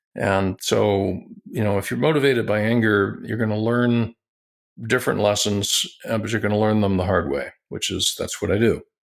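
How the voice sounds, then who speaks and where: Using a normal speaking voice, a man talks at a moderate pace and a fairly low pitch with ordinary pitch variation. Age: 60s. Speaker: tech company founder and internet pioneer. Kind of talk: interview.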